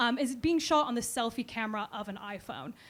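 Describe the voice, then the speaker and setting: Lively in intonation, this woman talks very fast at a high pitch. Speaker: digital culture writer, debate speaker. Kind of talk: debate speech.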